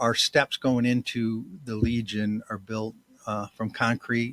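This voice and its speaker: At a fairly slow pace, a man with an American accent talks in a flat monotone at medium pitch, the sound dry and close with no echo. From Hilton, New York. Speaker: retired military officer and veterans post commander. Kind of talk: casual interview. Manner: halting.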